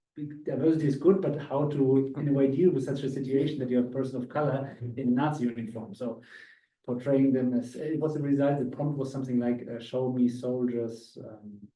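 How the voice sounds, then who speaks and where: A man's medium-pitched voice in a German accent, fairly quick and monotone with flat intonation, with audible room echo. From Austria. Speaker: visiting academic speaker. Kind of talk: casual discussion. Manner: halting, many fillers.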